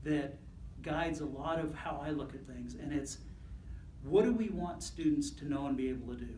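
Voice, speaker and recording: Very rapid speech from a man, with clear echo from the room and plenty of background noise. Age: 60s. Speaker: school superintendent. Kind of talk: speech to a club. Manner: halting.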